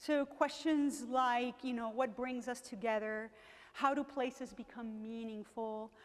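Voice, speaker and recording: High in pitch, a woman is speaking. Her pitch varies in an ordinary way. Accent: slight Venezuelan. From Venezuela. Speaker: professor. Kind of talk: lecture. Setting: museum gallery with audience. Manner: animated.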